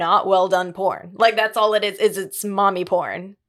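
A woman speaks fairly slowly at a medium pitch in a plain, everyday voice. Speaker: youth facility counselor. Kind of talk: casual chat.

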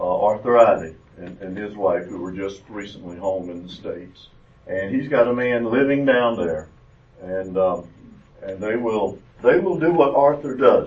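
Speaking with a Southern US accent, a man uses a fairly low pitch, lively intonation and big swings in loudness. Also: moderate pace. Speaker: retired doctor giving mission trip talk. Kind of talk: church talk. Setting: church classroom with audience.

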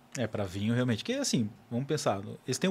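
A man speaks at a very fast pace in a medium pitch, sounding somewhat breathy. The recording is very clean, with a silent background. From Florianópolis, southern Brazil. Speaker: wine educator and podcaster. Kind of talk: casual chat. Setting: studio.

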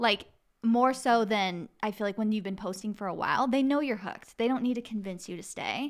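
A woman with an American accent has an ordinary speaking voice, fairly high in pitch with ordinary pitch variation. The recording is very clean, with a silent background. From Arizona. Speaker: podcast host and health coach. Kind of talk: casual chat.

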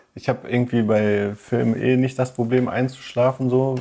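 This man's voice has a dark, mellow tone at a medium pitch, with fairly even intonation. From Ruhr area, Germany (Duisburg). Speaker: podcast co-host. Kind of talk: casual chat.

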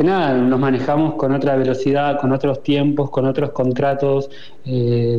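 Over noticeable background noise and audible room echo, a man with a fairly high pitch speaks at a fairly slow pace. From Argentina, Buenos Aires suburbs. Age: 20s. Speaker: poet. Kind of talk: interview. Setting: pre-recorded audio.

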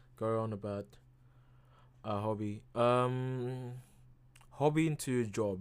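At a very slow pace, a man speaks with long, frequent pauses. His pitch is medium and his intonation fairly even. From Indonesia. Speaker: podcast host. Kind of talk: casual monologue. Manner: halting, many fillers.

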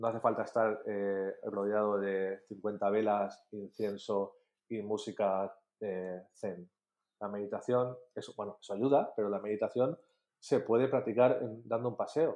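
A man talks at a fairly slow pace in an unremarkable speaking voice, his pitch fairly low. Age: 30s. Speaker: marketing and design course creator. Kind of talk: casual interview.

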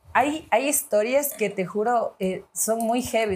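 A woman speaks at a moderate pace with a fairly high pitch. Noticeable background noise sits behind her. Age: 30s. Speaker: executive producer. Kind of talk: casual chat.

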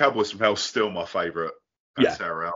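This man speaks with a southern English accent. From southern England. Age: 40s. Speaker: podcast host. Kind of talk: casual chat. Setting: video call.

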